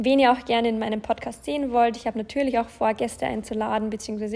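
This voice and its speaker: A woman talks in a fairly high voice. Her intonation stays monotone and flat. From Bavaria, Germany (Landshut). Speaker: podcast host, self-employed influencer. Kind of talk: casual solo podcast monologue.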